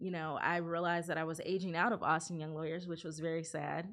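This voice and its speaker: A woman with an American accent talks in a normal speaking voice at a fairly low pitch. She moves at a fairly quick pace over a quiet background. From California and Ohio. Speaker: lawyer. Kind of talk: interview.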